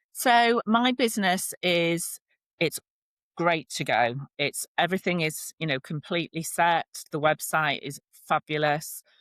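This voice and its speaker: Her intonation lively, a woman with a northern English accent speaks in a fairly low pitch. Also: fairly slow pace, dry, close sound with no echo. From northern England. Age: 50s. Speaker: relationship and divorce coach. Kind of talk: podcast interview. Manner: animated.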